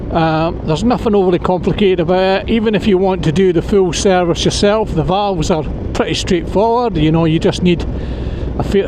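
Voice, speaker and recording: A man with a Scottish accent speaks at a moderate pace and high pitch, with very even loudness and fairly even intonation, over noticeable background noise and audible room echo. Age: 60s. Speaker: motorcycle vlogger. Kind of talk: casual vlog commentary while riding.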